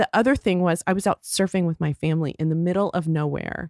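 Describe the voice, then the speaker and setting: A woman with an American accent and a plain, everyday voice talks at a fairly quick pace and a medium pitch with ordinary pitch variation, on a very clean recording with a silent background and a dry, close sound with no echo. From Texas. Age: 50s. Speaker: beauty entrepreneur. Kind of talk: casual interview.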